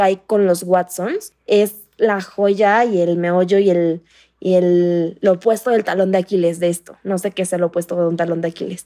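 Here a woman speaks at a medium pitch and a moderate pace. Her tone is dark and mellow, and her intonation is monotone and flat. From Mexico, Playa del Carmen. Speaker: course participant. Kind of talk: group conversation. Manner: soft-spoken.

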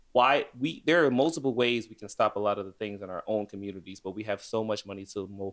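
A man with an American accent and an unremarkable speaking voice talks at a fairly quick pace in a fairly low pitch. The recording is very clean, with a silent background. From Chicago, US. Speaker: podcast co-host. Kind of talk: casual chat.

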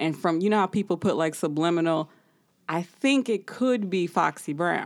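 A woman with a plain, everyday voice, fairly low pitch, ordinary pitch variation, moderate pace and very even loudness. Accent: American. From US Midwest. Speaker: podcast host. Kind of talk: casual chat.

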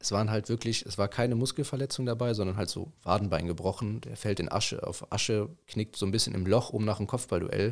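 A man with an unremarkable speaking voice talks at a fairly quick pace with hardly any pauses, his pitch fairly low and its variation ordinary. The recording is very clean, with a silent background. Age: 20s. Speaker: youth football coach. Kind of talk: casual chat.

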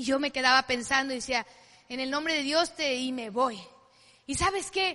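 A woman's voice is raised and projected, with a bright, sharp tone. She keeps a moderate pace. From Mexico, Culiacán, Sinaloa. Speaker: network marketing business speaker. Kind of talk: motivational talk.

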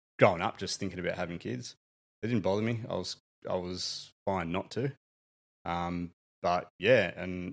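A man with an Australian accent, very deep and low in pitch, at a moderate pace with ordinary pitch variation, on a very clean recording with a silent background. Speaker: father, guest on parenting podcast. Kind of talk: casual chat.

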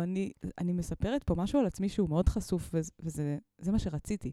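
A woman speaks with a dark, mellow tone, lively intonation and a moderate pace. The sound is dry and close with no echo, on a very clean recording with a silent background. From Israel, Mitzpe Ramon. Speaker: musician and preschool teacher. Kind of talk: casual interview chat.

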